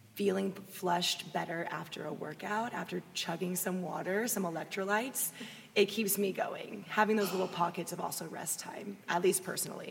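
A woman with an American accent at a medium pitch, moderate pace and fairly even intonation, against noticeable background noise. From Austin, Texas. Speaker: fitness blogger and personal trainer. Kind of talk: casual interview chat. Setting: live recording at festival.

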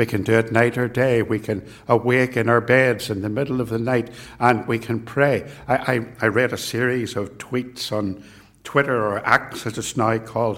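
A man speaks at a moderate pace in a medium pitch, with monotone, flat intonation. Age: 60s. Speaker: preacher. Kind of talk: sermon.

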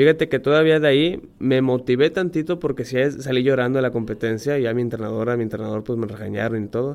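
Speech comes at a very fast pace with hardly any pauses. The pitch varies in an ordinary way. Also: man, medium pitch for a man. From Mexico, Monterrey. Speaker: professional diver. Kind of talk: interview. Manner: halting.

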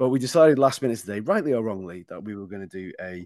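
With an ordinary speaking voice at a medium pitch and lively intonation, a man talks over a quiet background in a dry, close sound with no echo. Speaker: podcast host. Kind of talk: casual banter.

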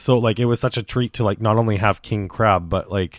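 A man with a fairly low pitch and an unremarkable speaking voice talks at a fairly quick pace, his sound dry and close with no echo, in a very clean recording with a silent background. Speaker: podcast host. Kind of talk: casual chat.

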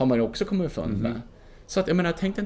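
A man's voice with very wide pitch swings. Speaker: mountaineer and filmmaker. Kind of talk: casual interview. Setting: hotel lobby.

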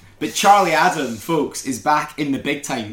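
In a Scottish accent, a man talks at a fairly high pitch with ordinary pitch variation. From Scotland. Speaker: podcast co-host. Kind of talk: casual chat.

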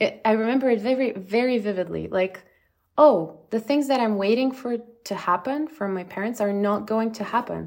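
This speaker talks at a moderate pace in a Bulgarian accent, with ordinary pitch variation. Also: woman, fairly high pitch for a woman. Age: 30s. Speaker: app founder. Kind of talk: interview.

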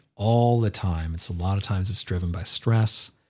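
A somewhat breathy voice at a moderate pace on a very clean recording with a silent background. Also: man. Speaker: podcast host. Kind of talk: casual monologue.

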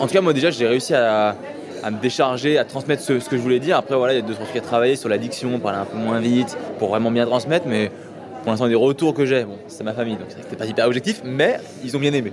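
Over crowd noise and audible room echo, the speech moves at a very fast pace with ordinary pitch variation. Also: man, medium pitch for a man. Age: 20s. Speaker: elite rower. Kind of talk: casual interview. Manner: mumbling.

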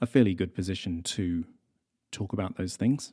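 A man's fairly low, dark, mellow voice with a New Zealand accent. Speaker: podcast host and journalist. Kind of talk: casual monologue reading listener mail. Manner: conversational with frequent fillers.

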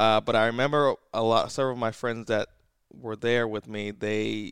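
A man's fairly low voice on a very clean recording with a silent background. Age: 30s. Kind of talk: casual chat.

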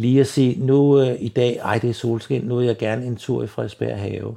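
With a quiet background, a man's mid-pitched voice carries a dark, mellow tone. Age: 70s. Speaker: blind retiree. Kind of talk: interview. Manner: halting, many fillers and repetitions.

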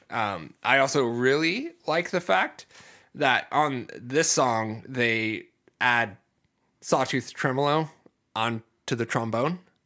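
Speaking very slowly with an American accent, a man uses a medium pitch, a bright, sharp tone and ordinary pitch variation, recorded very cleanly against a silent background. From US Midwest, Ohio. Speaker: podcast host. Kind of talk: casual chat. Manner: energetic.

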